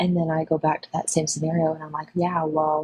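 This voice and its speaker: The voice is quiet and somewhat breathy, with a monotone, flat intonation. The sound is dry and close, with no echo. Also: woman. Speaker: caller on live stream. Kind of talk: casual discussion. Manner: hesitant with many fillers.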